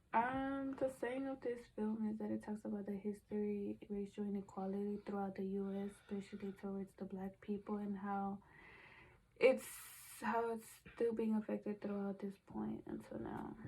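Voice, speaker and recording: A woman speaks at a medium pitch and a moderate pace, her intonation fairly even. Her tone is dark and mellow, and somewhat breathy. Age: 20s. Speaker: college student. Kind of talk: class presentation discussion.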